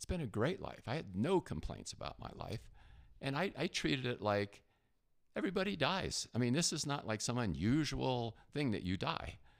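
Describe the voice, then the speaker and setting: Speaking with an American accent, a man uses a medium pitch with very wide swings, some vocal fry, and a moderate pace. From New Jersey. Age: 70s. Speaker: retired corporate traveler sharing health story. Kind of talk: interview testimony. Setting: studio.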